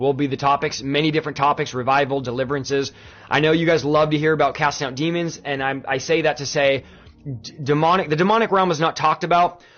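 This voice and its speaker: Over music in the background, a man talks very fast at a fairly high pitch in an enthusiastic tone. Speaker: pastor. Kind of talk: livestream sermon-style talk answering viewer questions. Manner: enthusiastic, conversational.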